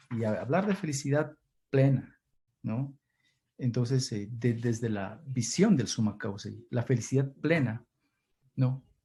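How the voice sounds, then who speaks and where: A man's somewhat breathy, dark, mellow voice at a fairly slow pace, with long, frequent pauses. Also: medium pitch for a man, ordinary pitch variation. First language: Kichwa (runashimi) (speaking Spanish). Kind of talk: Q&A answer in online seminar. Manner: halting, many repetitions.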